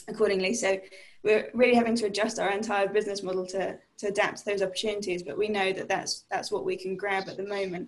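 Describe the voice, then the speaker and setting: A woman talks at a very fast pace with a British accent. Her medium-pitched voice stays monotone and flat. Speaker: tech company CEO. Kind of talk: panel discussion. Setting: online call on laptop.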